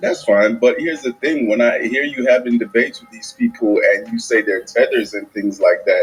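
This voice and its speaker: Music plays in the background as a man talks at a moderate pace. He barely pauses, and his loudness swings widely. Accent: Caribbean. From Jamaica. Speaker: caller. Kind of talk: heated debate.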